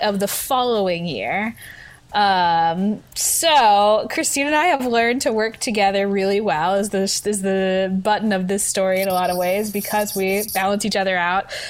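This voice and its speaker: A woman speaks at a fairly slow pace and medium pitch, her loudness very even and her pitch variation ordinary, against noticeable background noise. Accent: American. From US South, Memphis, Tennessee. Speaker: theater director and festival producer. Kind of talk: casual interview.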